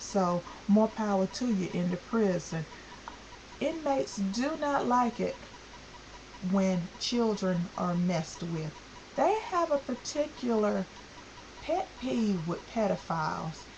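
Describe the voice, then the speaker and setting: Speaking very slowly with long, frequent pauses, a woman at a medium pitch swings very widely in pitch over noticeable background noise. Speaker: vlogger. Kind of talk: vlog rant. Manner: stuttering; animated.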